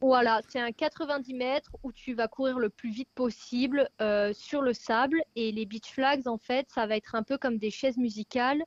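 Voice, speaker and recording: Recorded dry and close with no echo, a woman speaks at a high pitch with hardly any pauses. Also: fairly even intonation, moderate pace. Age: 20s. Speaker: athlete. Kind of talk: interview.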